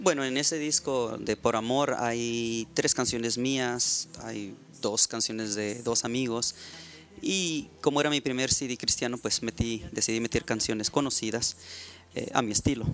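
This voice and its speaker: An unremarkable speaking voice from a man, medium in pitch, at a fairly slow pace with fairly even intonation. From Mexico, Baja California (Ensenada). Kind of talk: interview conversation. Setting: studio.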